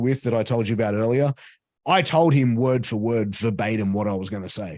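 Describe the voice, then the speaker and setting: An Australian-accented man talks at a fairly quick pace with lively intonation and an animated tone. The recording is very clean, with a silent background. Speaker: ring announcer and commentator. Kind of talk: interview answer. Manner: casual, animated.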